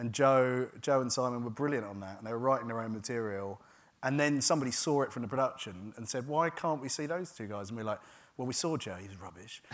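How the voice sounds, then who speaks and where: Big swings in loudness run through a man's speech at a very fast pace. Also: medium pitch for a man, ordinary pitch variation. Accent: southern English. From England, Gravesend, Kent. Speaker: TV comedy writer and producer. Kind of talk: onstage interview. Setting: theatre stage with audience.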